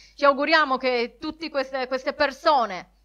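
A woman projects her raised, high-pitched voice with a bright, sharp tone. She speaks at a fairly slow pace. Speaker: podcast co-host. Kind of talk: casual chat.

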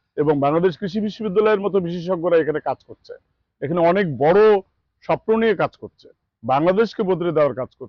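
This man has a high voice with ordinary pitch variation. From Bangladesh, Naogaon (Porsha). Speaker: farm owner buying seedlings. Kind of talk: customer testimonial interview. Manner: formal.

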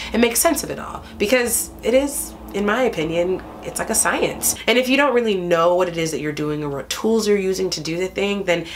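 Music plays in the background as a woman speaks at a fairly quick pace with hardly any pauses. Her intonation is lively. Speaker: stage actor. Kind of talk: interview answer.

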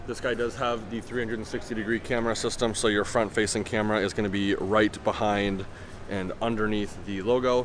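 A man speaks over light background noise. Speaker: car reviewer. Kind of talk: commentary. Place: hall. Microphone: phone near.

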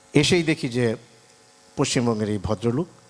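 This man has a normal speaking voice. It sits at a medium pitch and varies in an ordinary way. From Bangladesh, Brahmanbaria (Nabinagar). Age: 50s. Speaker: journalist. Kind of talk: speech at event.

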